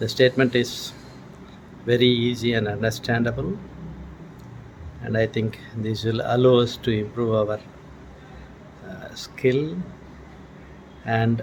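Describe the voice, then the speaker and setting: With long, frequent pauses, a man speaks at a medium pitch with fairly even intonation against noticeable background noise. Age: 70s. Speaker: professor of anatomy, student testimonial. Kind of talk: testimony. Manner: halting, with many fillers.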